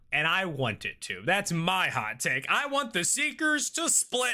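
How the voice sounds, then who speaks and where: A man uses a raised, projected voice at a high pitch with a bright, sharp tone. The recording is very clean, with a silent background. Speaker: streamer. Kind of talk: live stream chat. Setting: live stream. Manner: casual; mumbling when reading comments.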